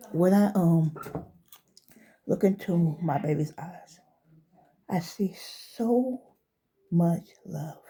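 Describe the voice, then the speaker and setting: A woman's dark, mellow, somewhat breathy voice at a very slow pace with ordinary pitch variation. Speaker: vlogger giving life advice. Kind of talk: personal commentary monologue. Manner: halting, emotional.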